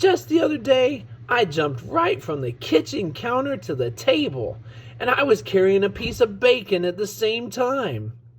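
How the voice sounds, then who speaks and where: A man puts on a high-pitched character voice at a moderate pace. Background noise is clearly audible. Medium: read story. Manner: confident, cheeky.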